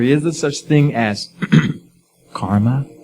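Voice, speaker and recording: A man at a very slow pace, with very wide pitch swings and music in the background. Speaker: preacher. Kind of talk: sermon to live audience.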